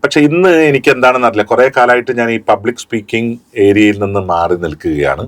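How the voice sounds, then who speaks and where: A man's voice with a fairly low pitch. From Kerala, India. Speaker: radio jockey; voice actor. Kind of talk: interview answer.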